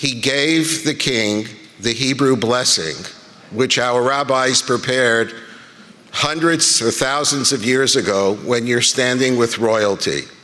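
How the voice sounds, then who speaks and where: At a very slow pace, a man speaks with ordinary pitch variation and very even loudness. Audible room echo and noticeable background noise are present. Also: medium pitch for a man. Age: 70s. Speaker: rabbi. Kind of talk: conference speech. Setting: stage with audience.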